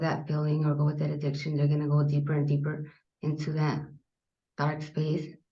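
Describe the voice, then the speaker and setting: A woman with a very deep, low pitch talks at a moderate pace, her voice somewhat breathy. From US Southwest, South Phoenix, Arizona. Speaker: army veteran. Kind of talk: interview.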